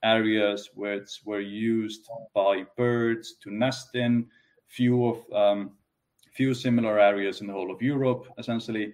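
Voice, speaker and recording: A man with an Icelandic accent speaks at a medium pitch with fairly even intonation. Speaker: economist. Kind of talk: interview.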